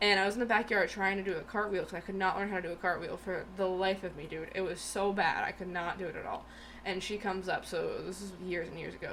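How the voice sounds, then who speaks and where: A woman's medium-pitched voice at a very fast pace, over noticeable background noise. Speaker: podcast co-host. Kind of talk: casual chat.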